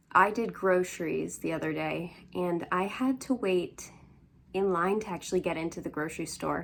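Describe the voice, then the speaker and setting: A quiet woman's voice, fairly low in pitch. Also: ordinary pitch variation, moderate pace. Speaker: crafting vlogger. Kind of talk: casual chat. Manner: rambling, chatty.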